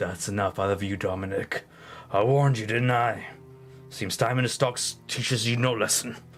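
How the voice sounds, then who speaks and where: Using a put-on character voice that is gravelly and raspy, a man speaks at a medium pitch with fairly even intonation while clear music plays in the background. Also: moderate pace. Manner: menacing.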